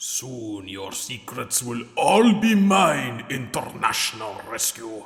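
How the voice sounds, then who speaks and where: This man puts on a character voice, pitched in the medium range. He talks fairly slowly. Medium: audio drama. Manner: hissing, sinister.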